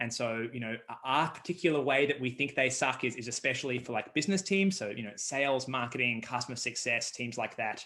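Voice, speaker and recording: A man's medium-pitched voice in an Australian accent, bright and sharp in tone, at a fairly quick pace with hardly any pauses and ordinary pitch variation. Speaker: startup co-founder. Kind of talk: interview.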